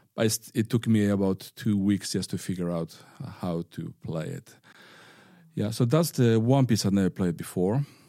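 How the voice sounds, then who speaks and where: A man with a Spanish accent speaks at a fairly low pitch in a dark, mellow tone. The sound is dry and close with no echo, a very clean recording over a silent background. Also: lively intonation, moderate pace. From northern Spain. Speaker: violinist and music teacher. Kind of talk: interview. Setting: studio. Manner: firm.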